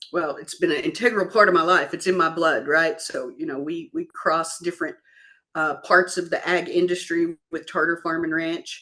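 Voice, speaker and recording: Speaking in a Kentucky accent, a woman uses a bright, sharp tone with fairly even intonation at a moderate pace. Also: fairly low pitch for a woman. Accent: Kentucky Southern. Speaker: farm equipment business executive. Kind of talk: interview.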